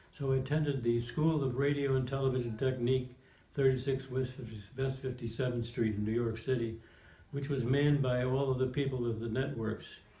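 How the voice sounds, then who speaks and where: Speech in an American accent moves at a fairly quick pace with monotone, flat intonation, and audible room echo surrounds it. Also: man, medium pitch for a man. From New Jersey (Montclair). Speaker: war veteran. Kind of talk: oral history interview.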